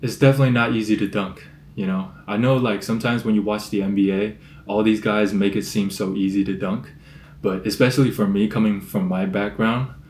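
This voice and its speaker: An ordinary speaking voice at a fairly quick pace, with fairly even intonation. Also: man, fairly low pitch for a man. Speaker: vlogger. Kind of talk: casual vlog talk. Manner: casual, filler-heavy.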